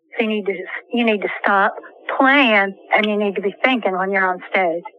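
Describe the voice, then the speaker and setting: Over noticeable background noise, a woman speaks at a moderate pace. Her medium-pitched voice keeps a fairly even intonation. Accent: American. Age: 60s. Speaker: podcast co-host, former stage actor. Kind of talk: casual chat. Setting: in a car.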